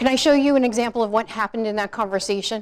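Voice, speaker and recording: Speaking very fast in an animated tone, a woman with an American accent uses a fairly high pitch. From New York. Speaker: professional speaker and communication trainer. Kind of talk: interactive seminar talk. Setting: stage with audience.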